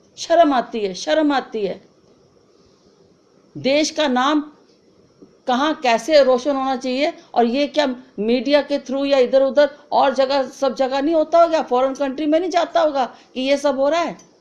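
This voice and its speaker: This woman's voice is high-pitched, with ordinary pitch variation. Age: 70s. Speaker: concerned citizen. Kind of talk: video appeal. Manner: emotional, repetitive pleading; halting, with fillers.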